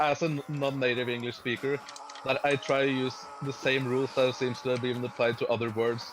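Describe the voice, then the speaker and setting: With a non-native accent, a man speaks at a fairly quick pace and a medium pitch. His intonation is monotone and flat over noticeable background noise. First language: not English. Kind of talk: casual debate on a livestream. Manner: halting.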